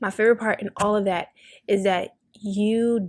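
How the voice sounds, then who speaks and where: Her intonation monotone and flat, a woman talks in a medium pitch. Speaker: podcast host. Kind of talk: casual chat.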